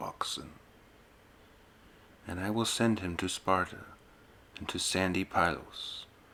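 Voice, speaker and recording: Very slowly, a man speaks. His voice is a whisper. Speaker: ASMR channel host and reader. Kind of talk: ASMR poetry reading. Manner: soft-spoken, ASMR style.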